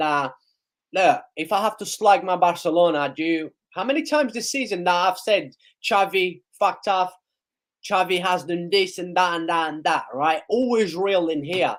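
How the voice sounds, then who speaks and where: A high-pitched man at a moderate pace in a very clean recording with a silent background. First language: not English. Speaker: football YouTuber. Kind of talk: live match reaction stream. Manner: animated.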